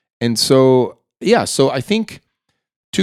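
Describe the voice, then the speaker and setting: The recording is very clean, with a silent background. A man talks in a dry, close sound that has no echo. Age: 50s. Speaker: filmmaker and entrepreneur. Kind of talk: casual chat.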